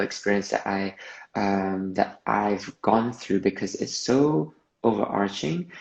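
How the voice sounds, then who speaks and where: The speaker goes at a fairly slow pace with a slight Malaysian accent. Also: man. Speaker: movement artist. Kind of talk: interview.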